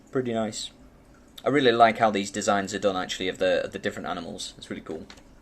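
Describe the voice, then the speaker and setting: A man's fairly low voice with a British accent. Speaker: banknote collector and video host. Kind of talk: casual show-and-tell tutorial. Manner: fast; hesitant, many fillers.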